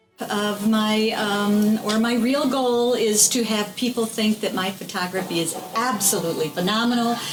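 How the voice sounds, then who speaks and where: A woman talks at a moderate pace with hardly any pauses, her pitch fairly high and her intonation fairly even. Her loudness stays very even, and there is noticeable background noise. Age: 60s. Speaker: photographer and small business owner. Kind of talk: interview answers.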